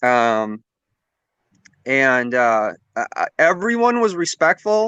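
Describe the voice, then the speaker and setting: A man with an American accent speaks in a bright, sharp tone with very wide pitch swings, the sound dry and close with no echo against a quiet background. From Minnesota, US Midwest. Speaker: independent live streamer. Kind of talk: casual panel chat. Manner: halting, many fillers.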